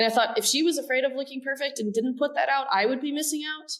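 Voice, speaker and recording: This woman talks at a fairly quick pace. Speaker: business development director in automation industry. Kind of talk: podcast interview.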